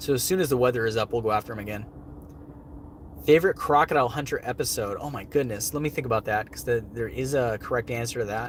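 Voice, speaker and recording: A man with a medium-pitched, somewhat breathy voice talks at a very fast pace with ordinary pitch variation. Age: 30s. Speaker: wildlife show host. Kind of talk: livestream Q&A. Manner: casual, filler-heavy.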